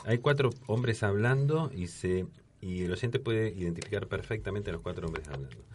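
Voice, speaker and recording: Against noticeable background noise, a man speaks fairly quickly in a fairly low voice with lively intonation. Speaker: veteran radio broadcaster. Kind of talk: casual chat. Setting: studio.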